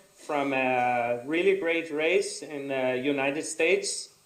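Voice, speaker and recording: A man with a non-native accent talks at a very slow pace. His fairly high voice has ordinary pitch variation, with audible room echo. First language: not English. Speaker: adventure racer and course designer. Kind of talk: conference presentation. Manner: halting.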